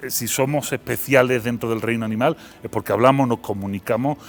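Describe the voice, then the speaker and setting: The man's voice sits at a medium pitch with fairly even intonation. He speaks at a fairly quick pace. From Seville, Andalusia, Spain. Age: 40s. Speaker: philosopher and university lecturer. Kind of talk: interview.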